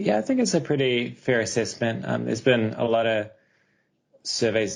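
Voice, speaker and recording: Speaking with a New Zealand accent, a man uses lively intonation and some vocal fry. His pace is moderate. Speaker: architectural researcher. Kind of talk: podcast interview.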